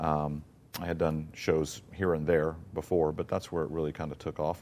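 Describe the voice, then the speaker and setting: This is a man with a very deep, low pitch and an American accent. The recording is very clean, with a silent background. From US South, Mississippi. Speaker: theater producer and playwright. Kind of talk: interview. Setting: theater.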